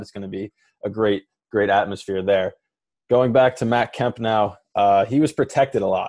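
A man speaks fairly quickly at a fairly low pitch. It is a plain, everyday voice. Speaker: podcast host. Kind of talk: sports podcast banter.

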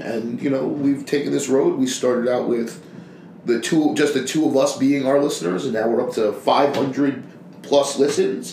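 The speaker talks at a moderate pace with ordinary pitch variation. Audible room echo and noticeable background noise are present. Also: man, fairly high pitch for a man. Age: 30s. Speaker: podcast co-host, painting contractor. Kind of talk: casual chat.

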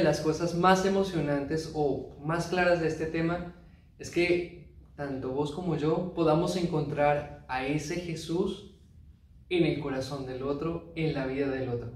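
Delivered at a fairly slow pace, the speech carries audible room echo. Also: man. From Colombia, Huila (Neiva). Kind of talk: sermon. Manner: animated.

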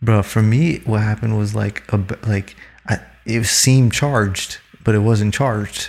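With a plain, everyday voice, a man talks at a moderate pace in a fairly low pitch, his intonation fairly even. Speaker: podcast guest. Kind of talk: casual banter chat.

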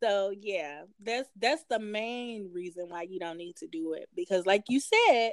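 With a Southern US accent, a woman speaks at medium pitch and a fairly slow pace, barely pausing. Her intonation is lively, and her loudness swings widely. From Tennessee. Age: 30s. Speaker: podcast co-host, nurse. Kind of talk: casual chat.

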